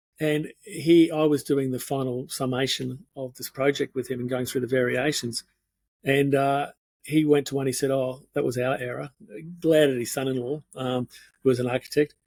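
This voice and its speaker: Speaking in an Australian accent, a man uses a medium pitch and monotone, flat intonation. The sound is dry and close, with no echo. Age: 60s. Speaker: architect turned speaker and painter. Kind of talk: interview conversation. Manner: halting.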